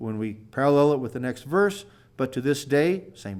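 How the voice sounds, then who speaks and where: A man talks at a fairly quick pace in a very clean recording with a silent background. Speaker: Bible teacher. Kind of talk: lecture. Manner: fast.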